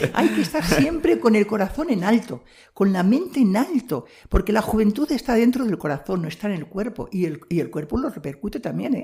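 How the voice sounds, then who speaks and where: The voice has vocal fry and very wide pitch swings. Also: woman, fairly high pitch for a woman, fairly quick pace. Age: 80s+. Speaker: missionary nun. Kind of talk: testimony. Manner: halting.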